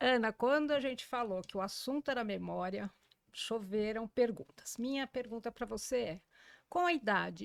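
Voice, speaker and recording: On a very clean, dry and close recording with a silent background and no echo, a woman with an unremarkable speaking voice talks at a fairly high pitch and moderate pace with ordinary pitch variation. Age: 60s. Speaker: journalist and podcast host. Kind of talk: podcast interview.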